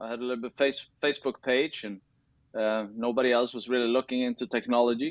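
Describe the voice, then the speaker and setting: Against a quiet background, a man with a Swedish accent talks fairly quickly at a medium pitch with fairly even intonation. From Sweden. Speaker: tennis coach and tech founder. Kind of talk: interview. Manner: halting, many fillers and restarts.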